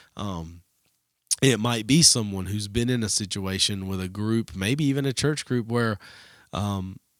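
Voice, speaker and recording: On a very clean recording with a silent background, a man with a Southern US accent speaks at a fairly slow pace and a fairly low pitch. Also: ordinary pitch variation. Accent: Southern US accent, still holds it. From US South. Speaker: student ministry leader. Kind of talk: casual podcast chat.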